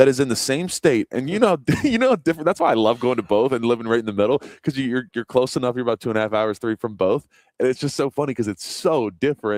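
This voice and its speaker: With a slight Baltimore accent, the speaker talks at a very fast pace in a dry, close sound with no echo. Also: man, medium pitch for a man, ordinary pitch variation. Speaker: guest co-host. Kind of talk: casual chat. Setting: live stream from a restaurant.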